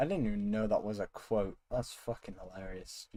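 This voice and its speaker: A man speaks fairly slowly in a dark, mellow, amused tone. His intonation stays fairly even. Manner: swearing, amused.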